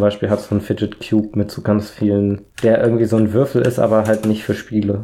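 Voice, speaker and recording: On a very clean recording with a silent background, a man with a fairly low pitch and a dark, mellow tone speaks at a fairly quick pace. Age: 20s. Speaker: podcast co-host. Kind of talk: casual chat.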